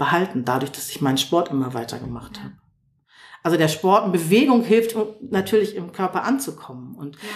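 A woman's fairly low voice at a fairly quick pace, with very wide pitch swings and big swings in loudness. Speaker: yoga teacher. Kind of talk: interview.

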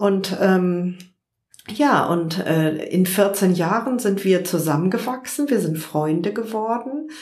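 A woman speaks at a very slow pace with a medium pitch and ordinary pitch variation. Audible room echo surrounds her voice. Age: 50s. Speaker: journalist and online magazine founder. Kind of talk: interview. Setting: at her home.

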